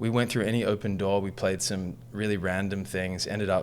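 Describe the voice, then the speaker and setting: With an Australian accent, a man speaks at a fairly low pitch. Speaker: musician and coach. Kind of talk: interview storytelling.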